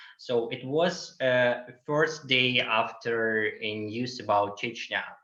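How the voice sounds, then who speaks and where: A man with a Russian accent speaks very slowly at a medium pitch with ordinary pitch variation. Audible room echo is present. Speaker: LGBTQ activist. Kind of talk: webinar Q&A answer. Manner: halting, many fillers.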